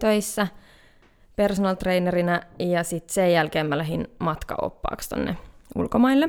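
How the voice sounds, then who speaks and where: This woman has a plain, everyday voice with medium pitch and ordinary pitch variation. She talks at a moderate pace on a very clean recording with a silent background. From Finland, Hämeenkyrö (Pirkanmaa). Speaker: nature wellbeing entrepreneur. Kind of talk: casual interview. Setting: studio.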